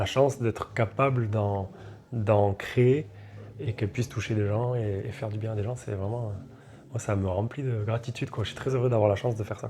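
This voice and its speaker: A man with a fairly low pitch and a dark, mellow, somewhat breathy tone speaks at a moderate pace with fairly even intonation. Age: 30s. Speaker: reggae singer. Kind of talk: interview. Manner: casual, hesitant with fillers.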